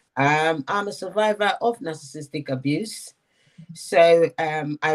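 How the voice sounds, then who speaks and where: On a very clean recording with a silent background, the speaker talks with a Nigerian accent and ordinary pitch variation. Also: woman. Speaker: relationship content creator. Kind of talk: panel discussion.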